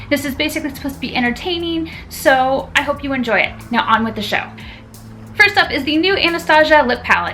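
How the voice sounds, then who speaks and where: A woman's raised, projected voice, high-pitched and very fast, with music in the background. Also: ordinary pitch variation. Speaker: beauty YouTuber. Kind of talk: casual talk to camera. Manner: stuttering.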